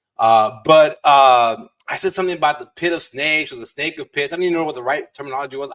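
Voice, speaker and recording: Here a man talks very fast with an American accent. His pitch is fairly high. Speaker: realtor and podcast host. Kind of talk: live-streamed podcast conversation. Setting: live stream video call. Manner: casual, stumbling over words.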